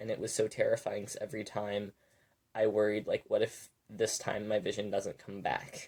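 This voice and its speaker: A raspy, put-on character voice moves at a moderate pace. The recording is very clean, with a silent background. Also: man. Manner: recounting a frightening memory.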